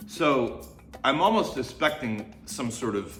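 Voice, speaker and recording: Over music in the background, a man with an American accent speaks at a very slow pace. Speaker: tea reviewer. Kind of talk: casual talk to camera.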